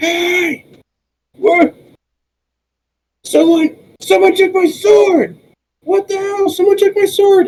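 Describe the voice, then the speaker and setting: A shouted put-on character voice at an extremely high pitch, very slow pace, and long, frequent pauses. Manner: angry, shouting.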